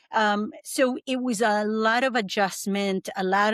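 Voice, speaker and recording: In a slight Argentine accent, a woman with a fairly high pitch and ordinary pitch variation talks at a very slow pace, the sound dry and close with no echo. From Argentina. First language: Spanish. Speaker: breathwork coach. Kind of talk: podcast interview, personal testimony. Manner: halting, many fillers.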